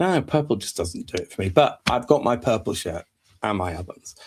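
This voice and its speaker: A man speaks at a very fast pace in a somewhat breathy voice. The recording is very clean, with a silent background. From northern England (Hull). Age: 50s. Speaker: business consultant. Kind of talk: live stream monologue. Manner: casual, conversational.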